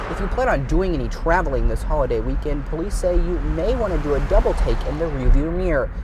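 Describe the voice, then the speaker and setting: Noticeable noise fills the background. Over it, a man speaks fairly quickly. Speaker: TV news reporter. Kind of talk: TV news report and standups.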